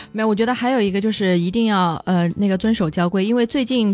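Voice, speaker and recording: A woman speaks very fast at a medium pitch with ordinary pitch variation. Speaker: car podcast co-host. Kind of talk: casual chat.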